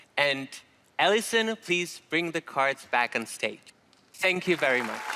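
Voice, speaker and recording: The voice has a bright, sharp tone and lively intonation. A crowd can be heard in the background. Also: man, fairly high pitch for a man, fairly slow pace. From Czech Republic. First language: Czech. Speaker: magician. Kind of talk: stage performance patter. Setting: stage with audience. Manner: theatrical.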